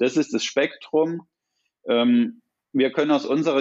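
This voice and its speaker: A man with an unremarkable speaking voice talks at a fairly slow pace and a fairly high pitch. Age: 40s. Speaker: applied research department head. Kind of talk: interview.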